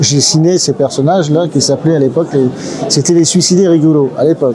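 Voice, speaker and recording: A man talks at a fairly high pitch with ordinary pitch variation. Noticeable background noise can be heard. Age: 60s. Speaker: comic book illustrator. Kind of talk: interview. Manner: hesitant, many fillers.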